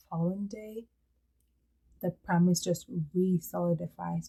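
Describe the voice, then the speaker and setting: A woman's fairly low, somewhat breathy voice carries a dark, mellow tone and fairly even intonation. She keeps a moderate pace in a dry, close sound with no echo. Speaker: fantasy writer and video creator. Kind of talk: casual vlog update.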